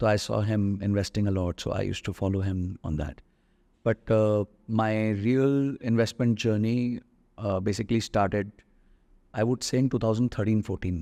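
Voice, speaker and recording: A man speaks at a moderate pace with long, frequent pauses, his fairly low pitch and dark, mellow tone held in fairly even intonation. The sound is dry and close with no echo, over a quiet background. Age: 40s. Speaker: personal finance investor. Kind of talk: podcast interview. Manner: hesitant with fillers.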